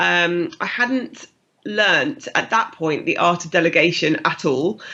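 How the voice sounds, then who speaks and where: This woman has a British accent and a bright, sharp tone with vocal fry. Her pitch swings very widely. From UK. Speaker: fitness business founder. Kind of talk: interview.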